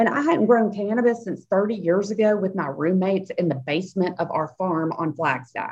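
In a strong Southern US accent, a woman speaks at a medium pitch with lively intonation. She leaves hardly any pauses. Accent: Southern drawl, strong. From Nashville, Tennessee. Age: 50s. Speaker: cannabis and CBD business founder. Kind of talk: interview. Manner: animated.

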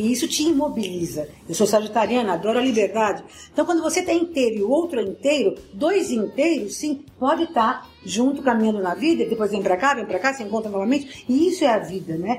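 Over noticeable background noise, a woman speaks at a very fast pace with hardly any pauses, her fairly high voice making very wide pitch swings. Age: 60s. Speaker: motivational speaker. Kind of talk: interview. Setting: at her home.

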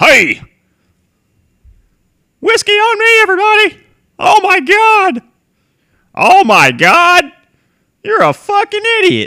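Speaking in a put-on character voice, the speaker uses an extremely high pitch at a fairly slow pace. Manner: loud, boisterous, swearing.

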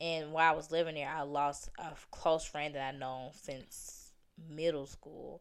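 A woman's very deep, low voice with a Southern US accent, fairly slow and monotone, with big swings in loudness. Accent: Southern US, noticeable. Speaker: returning guest. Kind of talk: casual chat.

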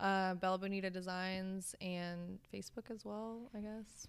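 A woman's medium-pitched voice with an American accent, an ordinary speaking voice, at a fairly slow pace. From US South (Savannah, Georgia), Russian-born. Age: 20s. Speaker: small business owner, fashion designer. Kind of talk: casual interview.

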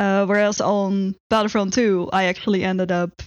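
A woman speaks with a Dutch accent at a fairly slow pace. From Netherlands. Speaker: software engineer. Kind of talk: interview.

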